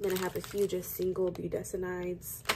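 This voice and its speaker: Noticeable background noise accompanies a woman talking at medium pitch. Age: 20s. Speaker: respiratory therapy student vlogger. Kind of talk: casual vlog narration. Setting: hospital.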